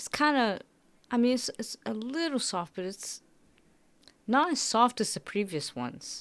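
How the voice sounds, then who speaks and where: A woman with fairly high pitch and lively intonation, a moderate pace, big swings in loudness and long, frequent pauses, on a very clean recording with a silent background. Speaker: food taste-test youtuber. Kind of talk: casual taste-test vlog. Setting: at home. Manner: quieter, trying not to make noise.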